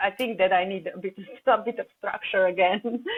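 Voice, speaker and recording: A woman with a Slovenian accent speaks at a medium pitch and keeps her intonation fairly even. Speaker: holistic coach. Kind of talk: podcast interview. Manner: halting, repeats words.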